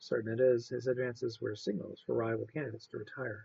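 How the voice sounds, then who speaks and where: A man speaks softly at a moderate pace, his pitch medium and his voice somewhat breathy. His tone is calm. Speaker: amateur reader. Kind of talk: read story. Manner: calm, steady, soft-spoken.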